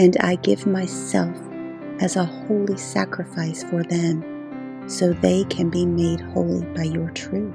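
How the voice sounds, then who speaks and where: A woman speaks at a very slow pace in a very deep, low voice with very wide pitch swings and a calm, soothing tone, with music in the background. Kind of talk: Bible scripture reading, calm devotional narration. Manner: calm, soothing, peaceful.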